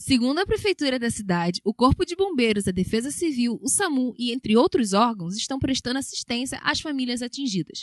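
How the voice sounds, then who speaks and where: A high-pitched woman speaks at a fairly quick pace with hardly any pauses. Her pitch swings very widely, and the sound is dry and close with no echo. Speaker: radio news announcer. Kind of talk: radio news bulletin read.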